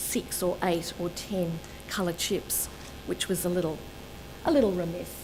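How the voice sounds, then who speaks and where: A woman of medium pitch speaks at a moderate pace, with audible room echo and noticeable background noise. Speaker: colour researcher and presenter. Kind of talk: lecture. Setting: seminar with live audience.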